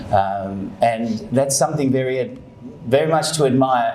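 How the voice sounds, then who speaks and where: With noticeable background noise and audible room echo, a man with an Australian accent talks at medium pitch and a moderate pace with lively intonation. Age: 60s. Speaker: university rector. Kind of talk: acceptance speech. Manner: hesitant, with fillers.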